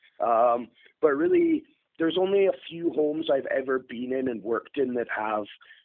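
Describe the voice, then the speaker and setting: At a moderate pace, a man speaks in a northeast Scottish accent. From northeast Scotland, near Aberdeen. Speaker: HVAC technician. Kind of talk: casual interview.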